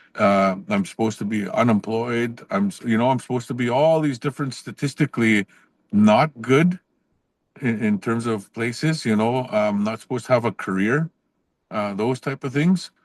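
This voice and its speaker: With a Canadian accent, a man speaks at medium pitch and a moderate pace against a quiet background. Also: ordinary pitch variation, dry, close sound with no echo. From northern Saskatchewan, Canada (Cree First Nation). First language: Cree. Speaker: professor. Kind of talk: podcast interview. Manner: casual, with frequent fillers and restarts.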